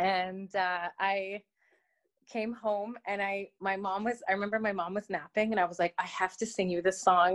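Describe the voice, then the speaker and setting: With a Canadian accent, a speaker uses an ordinary speaking voice at a moderate pace with fairly even intonation, in a dry, close sound with no echo. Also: woman. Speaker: opera singer. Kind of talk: interview chat. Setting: remote interview.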